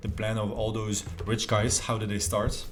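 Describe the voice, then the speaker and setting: In a French accent, a man speaks at a moderate pace with audible room echo around him. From France. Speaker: self-improvement youtuber. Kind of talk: casual talk to camera.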